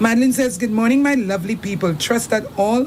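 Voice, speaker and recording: Noticeable background noise surrounds a woman whose pitch varies in an ordinary way. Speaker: radio host. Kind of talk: reading listener messages on live radio.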